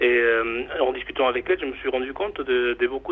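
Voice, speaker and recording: Amid noticeable background noise, a man talks quite quickly at a medium pitch with ordinary pitch variation. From Mexico. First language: Spanish (speaking French). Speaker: chocolate bar owner. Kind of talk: interview. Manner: halting, many fillers.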